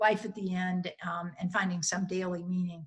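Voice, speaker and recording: A woman speaks in a somewhat breathy voice. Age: 60s. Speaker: psychologist. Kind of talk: webinar talk.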